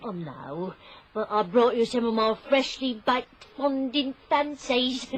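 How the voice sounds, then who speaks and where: A woman puts on a character voice, speaking at a high pitch and a fairly slow pace. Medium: old radio play.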